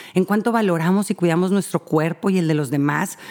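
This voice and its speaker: A woman at a fairly low pitch with ordinary pitch variation and a fairly quick pace. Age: 40s. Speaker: family counselor podcast host. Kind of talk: advice monologue. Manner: halting, many fillers.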